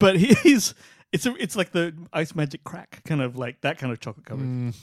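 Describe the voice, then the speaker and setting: With lively intonation and a fairly quick pace, a man speaks in a dry, close sound with no echo. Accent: Australian. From Australia. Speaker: podcast co-host. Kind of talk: casual chat. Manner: animated.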